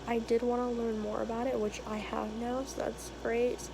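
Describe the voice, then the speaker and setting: Noticeable background noise accompanies a woman whose fairly high voice holds fairly even intonation at a moderate pace. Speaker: engineering vlogger. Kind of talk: casual vlog. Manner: casual, conversational.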